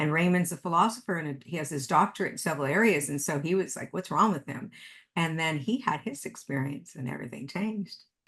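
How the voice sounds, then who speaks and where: A woman's fairly low voice, very fast and with lively intonation. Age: 60s. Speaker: author and medium. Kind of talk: interview conversation.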